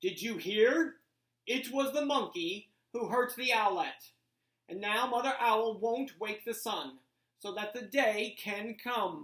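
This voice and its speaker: Fairly slow and fairly high for a woman, this female-sounding voice is a put-on character voice. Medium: read story. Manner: grave, deliberate.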